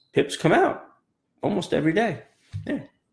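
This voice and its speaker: At a fairly quick pace, a man delivers his words. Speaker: trading coach. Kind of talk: pep talk. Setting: live video. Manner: animated; motivational, emphatic. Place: office. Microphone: webcam.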